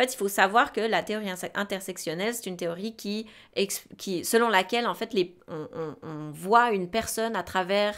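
A woman's medium-pitched voice, with ordinary pitch variation, comes through over a quiet background. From Switzerland. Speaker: podcast co-host, sexology student; podcast co-host. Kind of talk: casual chat. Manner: halting, many fillers and repetitions. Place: studio. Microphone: studio mic.

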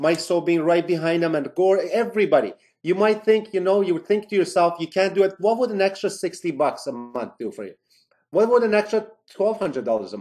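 A man's high-pitched voice at a fairly quick pace, with ordinary pitch variation and music in the background. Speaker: network marketing presenter. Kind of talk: sales pitch. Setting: video call. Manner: animated.

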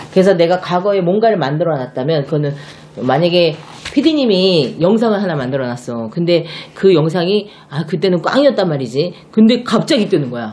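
Animated in tone, a woman with a fairly low pitch speaks at a fairly quick pace with very wide pitch swings. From South Korea. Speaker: shaman fortune teller. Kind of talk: fortune-telling monologue. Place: home room.

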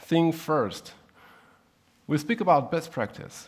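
Against a quiet background, a man speaks at a fairly slow pace with a high pitch. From Switzerland. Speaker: software developer, conference speaker; conference speaker. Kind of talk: technical conference talk. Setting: stage with audience. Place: hall.

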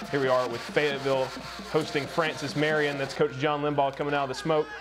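Music plays in the background as a man speaks in a fairly high pitch. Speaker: sports highlights show host. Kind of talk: live-style sports commentary over game highlights. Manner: animated, fast play-by-play delivery with excited emphasis; occasional hesitations and filler uh.

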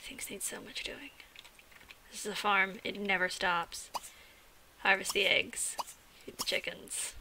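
A woman whispers at a fairly slow pace, her loudness swinging widely and her speech broken by long, frequent pauses. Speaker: gaming video creator. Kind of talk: let's play commentary. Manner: animated.

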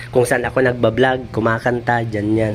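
A man speaking at a fairly slow pace in a monotone, flat intonation, with noticeable background noise. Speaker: vlogger. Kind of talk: casual vlog walkthrough. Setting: walking around a house under renovation.

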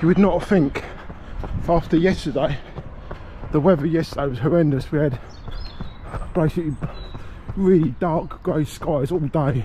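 At a moderate pace, a man talks over light background noise in a dry sound with no echo. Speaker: runner vlogger. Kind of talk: casual vlog chat. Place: street. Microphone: phone near.

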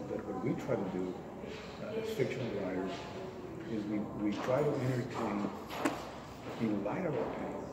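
A man speaks with long, frequent pauses. Loud background noise runs underneath. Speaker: interviewee. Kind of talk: interview answer. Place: meeting room. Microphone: camera far.

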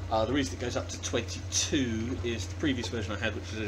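A man talks at a fairly quick pace in a fairly low voice. Noticeable background noise runs underneath. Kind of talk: tutorial. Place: workshop. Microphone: phone near.

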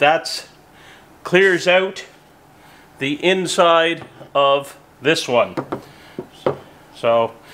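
A man speaks in a high-pitched voice with ordinary pitch variation. Noticeable background noise runs under the recording. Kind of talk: tutorial. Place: workshop.

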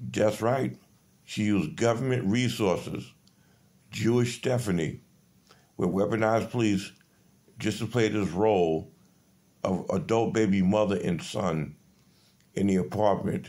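A man's fairly low voice at a fairly slow pace, with ordinary pitch variation and very even loudness. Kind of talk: rambling monologue. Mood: aggrieved, accusatory. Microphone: phone near.

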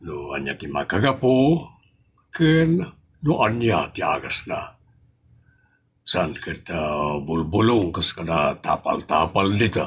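A man talks at a very slow pace. His fairly low voice swings very widely in pitch. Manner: calm, advising.

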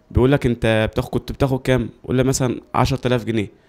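A man talks at a fairly quick pace in an Egyptian accent. His intonation is monotone and flat. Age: 20s. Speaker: footballer. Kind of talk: interview testimony. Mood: frustrated, complaining about contracts. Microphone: handheld.

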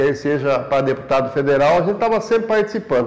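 A man is speaking. His intonation is lively. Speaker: local politician. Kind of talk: interview answer. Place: office.

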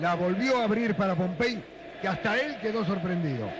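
Noticeable background noise runs behind a man with a high pitch who speaks at a moderate pace with lively intonation. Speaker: football color commentator. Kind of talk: live commentary.

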